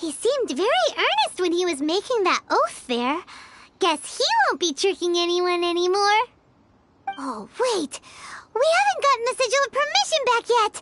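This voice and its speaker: This is a put-on character voice at an extremely high pitch. It moves at a moderate pace. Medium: video game. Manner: chatty, wry.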